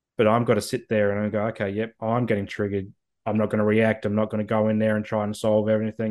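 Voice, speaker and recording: A man with an Australian accent talks at a very fast pace. His fairly low voice holds a monotone, flat intonation. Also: quiet background. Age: 30s. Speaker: mental health advocate. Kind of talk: interview.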